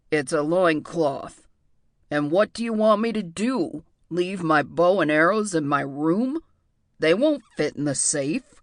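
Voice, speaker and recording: Using a put-on character voice, a woman growls at a fairly low pitch and a fairly slow pace. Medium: read story. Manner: sulky, indignant.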